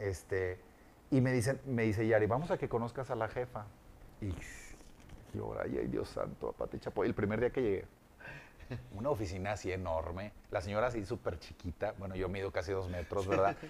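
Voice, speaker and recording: This man has a fairly low pitch and vocal fry, with ordinary pitch variation. He moves at a moderate pace, broken by long, frequent pauses. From Monterrey, Mexico. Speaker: voice actor and radio announcer. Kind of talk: casual interview chat.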